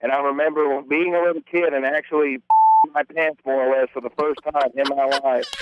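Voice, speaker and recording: Talking at a fairly quick pace, a man uses a plain, everyday voice with a fairly high pitch. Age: 20s. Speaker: caller. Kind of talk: casual chat.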